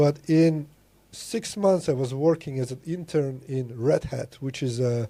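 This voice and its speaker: This man's medium-pitched voice has a dark, mellow tone and is somewhat breathy. His pitch varies in an ordinary way, in a very clean recording with a silent background. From Latvia. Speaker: programmer and business consultant. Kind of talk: casual chat. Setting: podcast interview.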